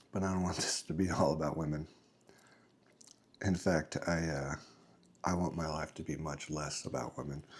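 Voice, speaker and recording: A soft-spoken man talks in a very deep, low pitch. His intonation is monotone and flat, with long, frequent pauses. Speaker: father. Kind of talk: casual talk to camera. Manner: slow, reflective; calm, gentle.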